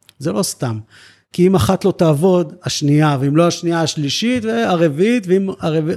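A man with a dark, mellow tone and fairly high pitch speaks at a moderate pace with lively intonation, recorded very cleanly against a silent background with a dry, close sound and no echo. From Israel, grew up on a kibbutz. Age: 40s. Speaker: senior civil servant for elderly services. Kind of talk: interview.

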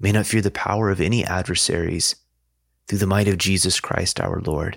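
A man talks at a moderate pace in an ordinary speaking voice with a fairly low pitch, on a very clean recording with a silent background. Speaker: prayer leader. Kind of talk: guided liturgical prayer, fervent and devotional, with petitions and responses. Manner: pleading, heartfelt intensity on the petitions.

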